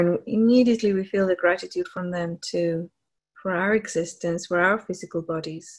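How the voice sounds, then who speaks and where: A woman with a somewhat breathy, warm, soothing tone, ordinary pitch variation, and a quiet background. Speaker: meditation leader on a group call. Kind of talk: guided meditation, slow spiritual visualization with breath cues. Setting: live group call. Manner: slow, soothing, hypnotic cadence with long pauses; gently repetitive, affirming and warm.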